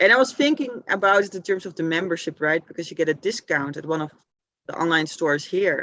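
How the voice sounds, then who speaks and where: Over a quiet background, the voice races along at a very fast pace. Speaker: tree climbing group organizer. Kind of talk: casual chat. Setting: video call.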